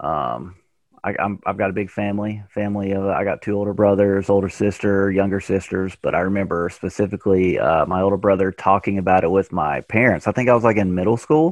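This man talks with a Tennessee accent at a moderate pace. His pitch sits fairly low. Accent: Southern US (Tennessee). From Tennessee, US South. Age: 30s. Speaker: professional disc golfer. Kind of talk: casual interview chat.

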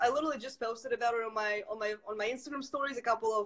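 A woman with a Russian accent and lively intonation. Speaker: entrepreneur. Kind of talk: interview.

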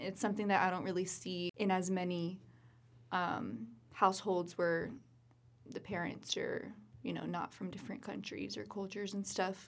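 A woman speaks at a medium pitch with vocal fry. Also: ordinary pitch variation, moderate pace. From US, Puerto Rican family. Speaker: podcast co-host. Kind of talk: casual chat.

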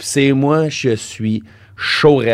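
A man with a Quebec accent speaks with ordinary pitch variation. The recording is very clean, and the background is silent. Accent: Québécois French. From Quebec City area (Val-Bélair). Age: 30s. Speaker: comedian. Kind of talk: casual chat.

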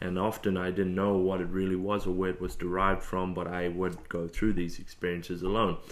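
This man has an Australian accent. His voice sits very deep and low. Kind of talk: casual interview chat. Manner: hesitant with many fillers.

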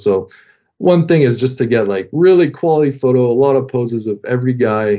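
A man with a French Canadian accent talks at a fairly quick pace. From Quebec (French Canada). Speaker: sports team creative director, former pro hockey player. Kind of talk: casual interview.

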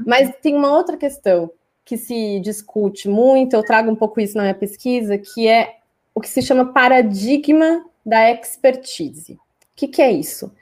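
With lively intonation, a normal speaking voice proceeds at a moderate speed. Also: woman, fairly high pitch for a woman. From Brazil, Cuiabá, Mato Grosso. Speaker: communication researcher and journalist. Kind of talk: interview. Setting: live stream.

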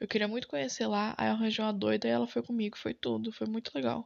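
A woman speaks at medium pitch in a plain, everyday voice, with lively intonation at a fairly quick pace against a quiet background. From São Paulo, Brazil (east zone). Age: 20s. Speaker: podcaster. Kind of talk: unscripted solo monologue. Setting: home bedroom. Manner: casual, slangy.

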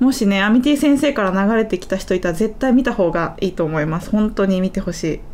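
A woman speaks at a very fast pace, with hardly any pauses and lively intonation. Her pitch is medium, and noticeable background noise comes through. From Kansai, Japan (Kyoto). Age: 20s. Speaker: YouTuber and iPad designer. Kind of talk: casual chat. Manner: lighter, giggly.

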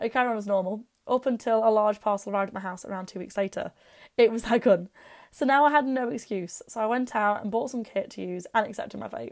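Speaking very fast in an East Midlands accent, a woman with a fairly high pitch swings widely in loudness on a very clean recording with a silent background. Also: ordinary pitch variation. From England, Derby (East Midlands). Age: 20s. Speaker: airsoft blogger and podcaster. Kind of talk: personal storytelling podcast monologue.

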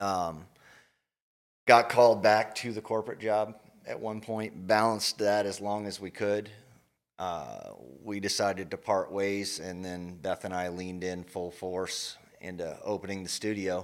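An unremarkable speaking voice from a man, fairly low in pitch, fairly slow and fairly even in intonation, in a very clean recording with a silent background. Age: 40s. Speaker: yoga studio owner. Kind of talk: casual interview chat.

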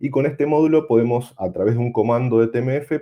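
A man with an Argentine accent talks at a fairly quick pace, medium in pitch with ordinary pitch variation. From Patagonia, Argentina. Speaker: amateur radio operator. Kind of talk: technical presentation.

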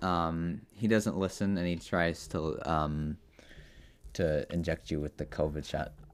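A man speaks at a fairly slow pace in a very deep, low voice with a playful tone. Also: ordinary pitch variation. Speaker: podcast host. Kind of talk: casual comedy chat with improv. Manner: joking, playful, does voices.

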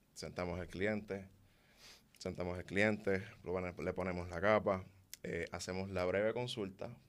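Very deep and low, a man's voice runs monotone and flat at a moderate pace in a very clean recording with a silent background. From Puerto Rico. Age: 20s. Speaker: loctician. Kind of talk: interview.

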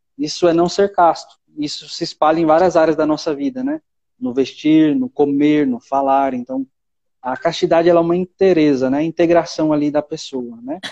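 A man speaks at a moderate pace in a fairly high pitch, with a dark, mellow tone, ordinary pitch variation, and a dry, close sound with no echo. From Brazil, São Paulo city. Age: 20s. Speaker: seminarian, former missionary. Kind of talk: casual chat.

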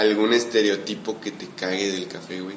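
A man's fairly low voice with ordinary pitch variation, amid audible room echo and noticeable background noise. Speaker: podcast host. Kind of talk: casual chat. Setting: coffee shop.

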